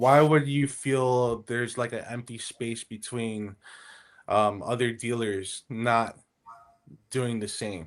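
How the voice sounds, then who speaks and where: A man with a Miami accent, medium pitch and a very slow pace. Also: fairly even intonation. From Miami, Florida. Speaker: automotive technician. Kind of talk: casual chat.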